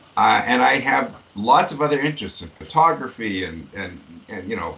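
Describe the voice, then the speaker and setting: Moderate pace from a man amid noticeable background noise. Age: 70s. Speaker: pediatric dentist and educator. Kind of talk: interview. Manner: halting.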